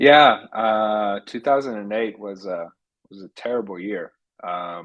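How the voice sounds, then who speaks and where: A man with a fairly low pitch speaks at a very slow pace, with ordinary pitch variation and big swings in loudness. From Poland, Warsaw. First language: Polish. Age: 50s. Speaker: technology entrepreneur. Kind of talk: podcast interview.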